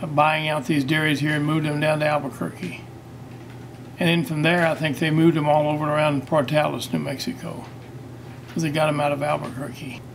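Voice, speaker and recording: In a room with audible echo, a man talks at a fairly quick pace with a fairly high pitch and monotone, flat intonation. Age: 80s+. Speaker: feed store owner. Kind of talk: interview. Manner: halting.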